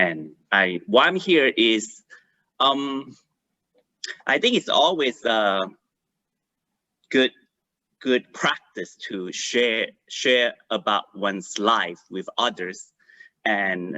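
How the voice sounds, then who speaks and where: A man with a Malaysian accent speaks at a medium pitch with lively intonation. His pace is very slow, with long, frequent pauses. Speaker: life coach. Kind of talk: online panel introduction. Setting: video call. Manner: halting.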